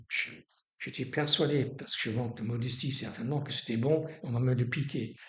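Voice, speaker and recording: The man's voice is somewhat breathy. He keeps a moderate pace. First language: English (speaking French). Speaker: storyteller. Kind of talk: life story interview. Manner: halting.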